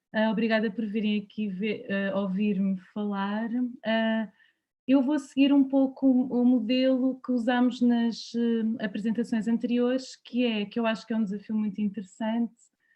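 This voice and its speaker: A somewhat breathy woman's voice, fairly high in pitch, with fairly even intonation. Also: moderate pace. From Portugal, Lisbon. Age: 30s. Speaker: anthropologist. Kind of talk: talk.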